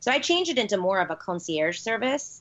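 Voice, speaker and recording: At a fairly quick pace, a woman talks with an American accent. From Chicago, US Midwest. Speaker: holistic nutritionist and wellness entrepreneur. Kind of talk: casual interview. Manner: animated, frequent laughs.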